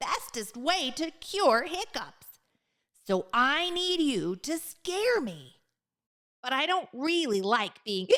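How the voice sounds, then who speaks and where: Using a put-on character voice, the speaker talks at a very slow pace in a high pitch with very wide pitch swings. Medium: read story. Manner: chatty, excitable, addresses listener directly.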